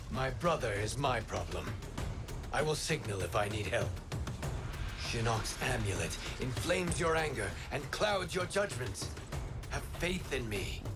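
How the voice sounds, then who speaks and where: Against loud music in the background, a man uses a put-on character voice at a medium pitch and a moderate pace. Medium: machinima. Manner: measured, earnest.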